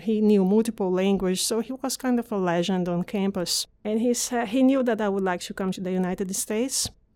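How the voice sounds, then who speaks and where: This woman speaks with a Portuguese accent at a moderate pace. Her medium-pitched voice has a dark, mellow tone and ordinary pitch variation. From northeast Brazil. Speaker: pathologist, fellowship director. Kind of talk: interview.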